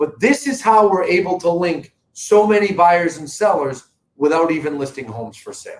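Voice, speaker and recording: A man with a Boston accent talks at a moderate pace with a high pitch. His tone is animated and his intonation lively. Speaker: real estate company owner. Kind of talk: live stream talk to viewers. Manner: conversational, animated.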